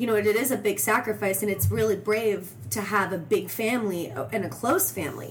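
Music plays in the background as a woman speaks with an American accent. Her pitch is medium and her pace fairly quick. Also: ordinary pitch variation. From Arizona, Phoenix area. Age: 30s. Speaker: actress and singer. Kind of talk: casual chat. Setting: in a home.

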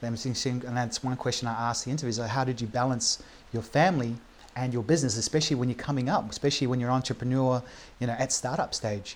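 A man with a New Zealand accent, at a very fast pace and with fairly even intonation. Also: medium pitch for a man. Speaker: podcast host and entrepreneur. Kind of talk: casual interview chat. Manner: halting, many fillers.

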